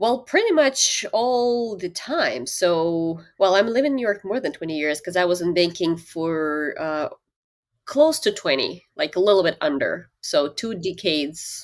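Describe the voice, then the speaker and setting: In a Russian accent, a woman at medium pitch speaks at a fairly slow pace with very wide pitch swings on a very clean recording with a silent background. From Siberia, Russia. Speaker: leadership coach. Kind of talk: interview.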